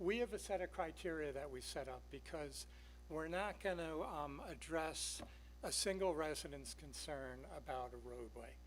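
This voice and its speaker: Moderately paced speech from a man with an American accent, the room echo audible. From New York. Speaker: town traffic engineer. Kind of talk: public presentation.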